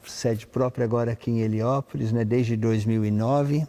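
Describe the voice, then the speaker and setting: At a moderate pace, a man's medium-pitched voice with a dark, mellow tone and fairly even intonation sounds dry and close with no echo. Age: 60s. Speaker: conductor and music institute director. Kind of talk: interview. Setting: concert hall.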